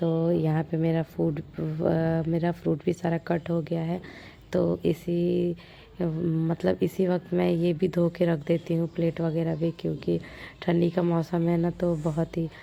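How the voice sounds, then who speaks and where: Speaking at a fairly slow pace, a woman with a fairly low pitch and a dark, mellow tone keeps her intonation monotone and flat. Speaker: vlogger. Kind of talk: casual vlog narration. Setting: home, sitting outside in the sun.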